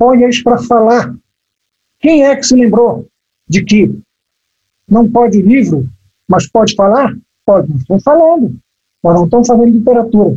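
A man with a high pitch and a dark, mellow tone speaks at a moderate pace with lively intonation and long, frequent pauses. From Brazil, Amazon (Belém, Pará). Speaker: writer. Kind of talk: casual chat.

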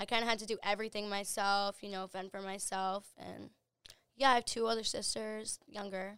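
A woman with an American accent speaks at a moderate pace in a medium pitch, her intonation monotone and flat. Her loudness swings widely on a very clean recording with a silent background. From US, small town. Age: 20s. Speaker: host's best friend, travel companion. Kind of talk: casual chat.

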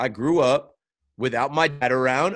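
At a moderate pace, a man with an unremarkable speaking voice and medium pitch is heard on a very clean recording with a silent background. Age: 30s. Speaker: sports podcast host and content creator. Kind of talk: casual chat.

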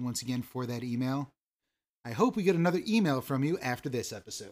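It's a normal speaking voice: a man at a medium pitch, fairly quick pace and ordinary pitch variation. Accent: American. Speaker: podcast host. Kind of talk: casual chat between cousins.

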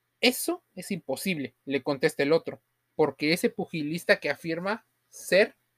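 Delivery comes at a moderate pace. The recording is very clean, with a silent background. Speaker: podcast host and story narrator. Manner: dramatic, building suspense, measured pacing.

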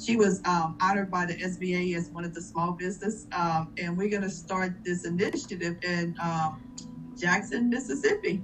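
Against noticeable background noise, a woman speaks at a fairly low pitch with ordinary pitch variation. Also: moderate pace. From Louisiana. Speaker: chamber of commerce leader. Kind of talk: panel discussion.

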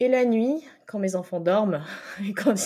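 Ordinary pitch variation and a dark, mellow tone from a woman. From grew up in many countries, French-Bangladeshi family. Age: 30s. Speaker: singer-songwriter. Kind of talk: interview. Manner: halting, many repetitions.

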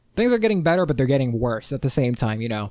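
On a very clean recording with a silent background, a man speaks in an animated tone at a fairly high pitch. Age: 20s. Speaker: solo podcast host. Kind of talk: casual solo monologue.

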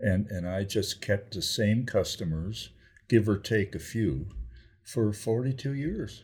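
A man's somewhat breathy, fairly low voice at a fairly slow pace with ordinary pitch variation, on a very clean recording with a silent background. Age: 80s+. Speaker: grandparent telling life story. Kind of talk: casual chat. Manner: halting.

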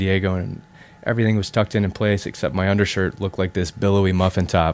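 A man with an American accent talks at a very fast pace and fairly low pitch. The recording is very clean, with a silent background. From US Midwest (South Dakota). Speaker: company co-founder. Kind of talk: interview.

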